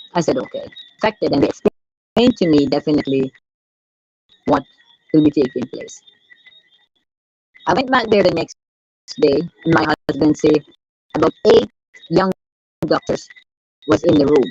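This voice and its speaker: With music in the background but a dry, close sound with no echo, a woman speaks in a very deep, low voice with very wide pitch swings and long, frequent pauses. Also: moderate pace. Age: 70s. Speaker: patient's wife. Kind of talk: testimony. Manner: halting.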